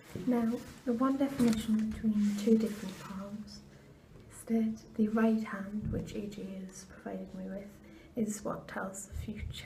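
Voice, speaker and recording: Noticeable background noise can be heard. The delivery is fairly slow. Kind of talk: ASMR palm reading guide. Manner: whispered.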